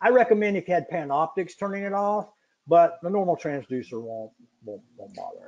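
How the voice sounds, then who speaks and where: Speaking at a fairly quick pace, a high-pitched man swings widely in both pitch and loudness. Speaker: product expert presenting a webinar. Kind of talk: webinar Q&A. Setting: webinar from home. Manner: fast.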